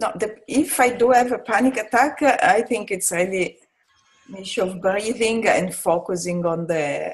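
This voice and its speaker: Over background music, a woman speaks at a fairly slow pace with lively intonation. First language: not English, more comfortable in French. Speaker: UN staff member being mentored. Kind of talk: mentoring session. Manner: halting, many false starts.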